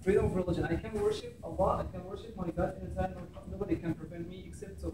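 Very fast speech with an Arabic accent over noticeable background noise. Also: man. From Egypt. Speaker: imam. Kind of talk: public talk. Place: classroom. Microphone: camera far.

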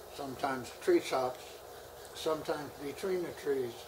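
A man with an American accent keeps a middling pace while clear background noise carries on around him. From United States. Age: 90s. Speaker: WWII pilot. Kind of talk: interview answer. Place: home room.

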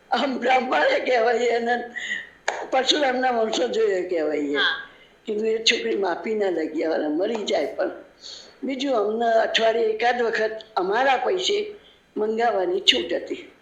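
The voice moves in very wide pitch swings. Audible room echo and noticeable background noise fill the recording. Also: woman, fairly high pitch for a woman. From Gujarat, Kalol. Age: 80s+. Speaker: independence-era activist, interviewee. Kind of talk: radio interview, oral history.

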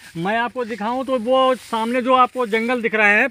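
A man uses a raised, projected voice with a bright, sharp tone and monotone, flat intonation at a moderate pace. The sound is dry with no echo over a quiet background. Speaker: travel vlogger. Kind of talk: casual vlog chat. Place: waterside. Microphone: phone near.

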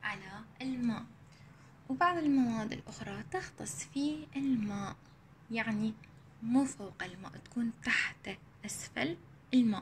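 Light background noise beneath fairly slow speech. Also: woman. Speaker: primary school teacher. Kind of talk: recorded lesson for children. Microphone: phone near.

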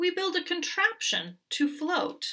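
A woman performs a put-on character voice at an extremely high pitch, bright and sharp in tone, moving slowly with big pitch swings.

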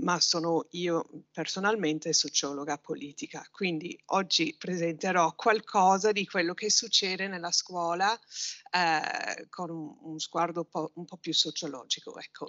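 In a quiet background, a woman with an English accent speaks fairly slowly at a fairly low pitch, with ordinary pitch variation and big swings in loudness. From Britain. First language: English (speaking Italian). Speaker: university researcher, political sociologist. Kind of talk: conference presentation. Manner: halting, many fillers. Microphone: video call.

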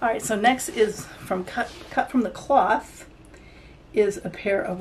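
Very slow speech from a woman, with ordinary pitch variation and light background noise. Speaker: clothing haul vlogger. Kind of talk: casual vlog chat. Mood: relaxed, chatty. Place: home room.

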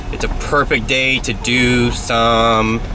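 The voice holds fairly even intonation. Behind it, background noise is noticeable. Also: man. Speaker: channel host. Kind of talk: casual vlog chat. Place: car. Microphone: phone near.

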